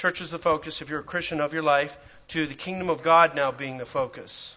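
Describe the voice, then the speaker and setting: A man's fairly high voice with a Canadian accent, fairly even intonation and a fairly quick pace, a plain, everyday voice. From Canada, Calgary. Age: 50s. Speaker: preacher and church planter. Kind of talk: church class teaching. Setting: church with audience.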